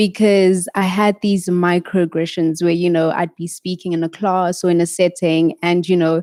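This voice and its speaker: At a moderate pace and with fairly even intonation, a speaker with an American accent has a dark, mellow tone in a dry, close sound with no echo. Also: woman, very clean recording, silent background. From South Africa. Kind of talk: panel discussion.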